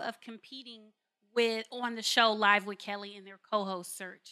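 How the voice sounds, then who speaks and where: In a bright, sharp tone, a woman is talking. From Los Angeles, California. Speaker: TV host and author. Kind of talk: interview. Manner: fast.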